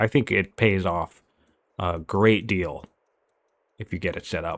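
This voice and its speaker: A man's voice in a very clean recording, silent background, with dry, close sound and no echo. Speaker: game tournament caster. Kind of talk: live commentary. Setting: live stream. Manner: mumbling at times.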